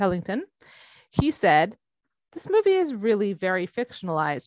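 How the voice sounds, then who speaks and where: A woman's medium-pitched voice at a moderate pace, with very wide pitch swings and a dry, close sound with no echo. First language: not English. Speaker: podcast host. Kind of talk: casual chat. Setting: video call.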